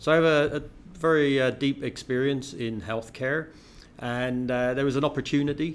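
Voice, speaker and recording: The man's intonation is fairly even. He keeps to a moderate pace. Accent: English. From England (Bath, west of England). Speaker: healthcare company CEO. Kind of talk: interview. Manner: hesitant, many fillers.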